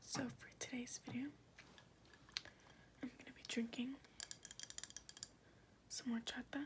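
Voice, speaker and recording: A woman whispers at a fairly slow pace with long, frequent pauses. Noticeable background noise runs underneath. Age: 20s. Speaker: ASMR creator. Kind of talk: ASMR Q&A to camera.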